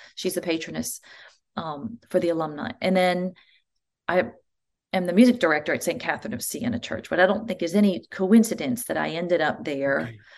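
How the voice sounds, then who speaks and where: Fairly low pitch from a woman with an American accent, vocal fry, lively intonation and a fairly quick pace. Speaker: church music director. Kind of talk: interview.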